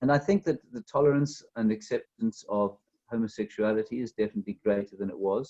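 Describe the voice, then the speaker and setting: Moving at a fairly quick pace, a man with a South African accent speaks at a medium pitch in a dark, mellow tone, the sound dry and close with no echo. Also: ordinary pitch variation. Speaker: author. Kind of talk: interview. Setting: video call.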